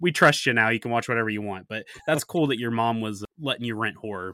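A man with a northern US accent has a bright, sharp tone. The very clean recording has a silent background and a dry, close sound with no echo. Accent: northern US drawl. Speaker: horror podcast host. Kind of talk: casual chat.

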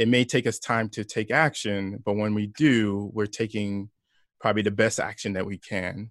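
In a plain, everyday voice, a man speaks at a moderate pace with fairly even intonation and a fairly low pitch, the sound dry and close with no echo against a quiet background. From New York (Brooklyn, Long Island), Haitian parents. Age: 40s. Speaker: entrepreneur, former corporate employee. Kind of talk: interview conversation.

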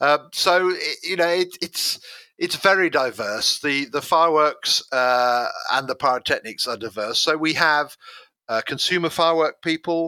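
A man with a British accent speaks at a fairly high pitch and fairly slow pace, recorded dry and close with no echo. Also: ordinary pitch variation. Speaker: explosives expert. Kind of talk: interview.

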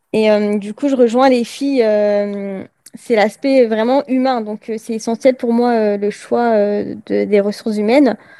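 A woman's fairly high, dark, mellow voice at a very slow pace, with fairly even intonation. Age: 20s. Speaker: HR assistant apprentice. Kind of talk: interview. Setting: remote call. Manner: hesitant, many fillers.

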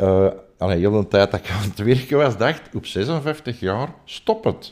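A man's voice rises and falls with lively intonation. He talks fairly slowly. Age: 60s. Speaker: chemical plant worker. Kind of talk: testimony. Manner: halting.

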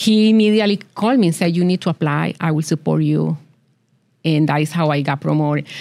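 With a Colombian accent, the speaker goes at a very fast pace with ordinary pitch variation and very even loudness. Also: woman, very deep, low pitch for a woman. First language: Spanish. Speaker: business accelerator founder. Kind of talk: interview.

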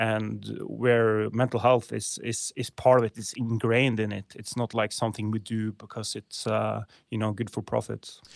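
Against a quiet background, the voice moves at a moderate pace with monotone, flat intonation and hardly any pauses. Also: man, medium pitch for a man. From Norway. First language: Norwegian. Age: 30s. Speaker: clothing company founder. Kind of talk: casual interview. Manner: halting, many fillers.

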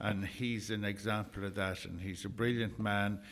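Here a man talks with an Irish accent at a moderate pace. His pitch is fairly low and his intonation fairly even. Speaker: community volunteer and event organiser. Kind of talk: radio interview.

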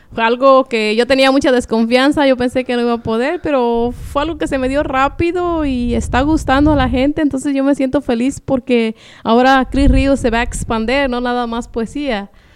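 Barely pausing, a woman with a high voice speaks with fairly even intonation over noticeable background noise. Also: moderate pace. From Michoacán, Mexico. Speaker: poet. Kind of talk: interview.

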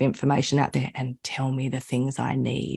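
In an Australian accent, a woman speaks with a very deep, low pitch and fairly even intonation. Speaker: business coach and consultant. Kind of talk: interview.

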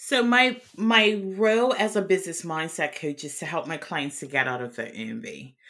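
On a very clean recording with a silent background, a woman speaks at a moderate pace and medium pitch with hardly any pauses, a bright, sharp tone, vocal fry, very wide pitch swings and big swings in loudness. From Bermuda. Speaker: business mindset coach. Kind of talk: casual chat.

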